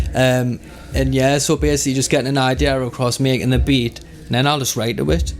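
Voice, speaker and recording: A man at a very fast pace over music in the background. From Northumberland, North East England. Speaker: grime MC and rapper. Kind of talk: interview answer. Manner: casual, relaxed.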